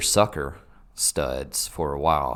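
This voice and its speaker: In a very clean recording with a silent background, a man speaks with a Southern US accent. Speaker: soccer podcast co-host. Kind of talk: casual chat. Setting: home basement.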